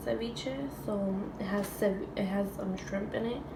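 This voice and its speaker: A woman speaks at a moderate pace with ordinary pitch variation, with audible room echo and noticeable background noise. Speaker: mukbang vlogger. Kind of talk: eating show tutorial. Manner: eating while talking.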